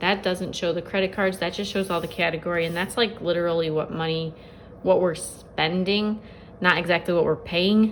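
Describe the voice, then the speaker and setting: A woman speaks at a fairly low pitch with monotone, flat intonation. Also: moderate pace. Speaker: budget planner vlogger. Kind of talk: casual tutorial. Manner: many filler words.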